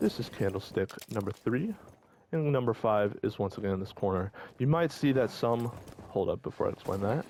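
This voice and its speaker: The pace is fairly quick. The intonation sounds lively. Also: man, medium pitch for a man. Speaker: gaming walkthrough creator. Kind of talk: live gameplay commentary tutorial. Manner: fast.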